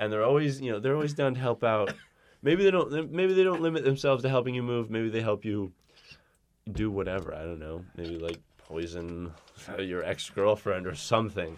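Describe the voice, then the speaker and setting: At a fairly quick pace, a man talks in a medium pitch with very wide pitch swings. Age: 30s. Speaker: podcast co-host. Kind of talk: casual chat.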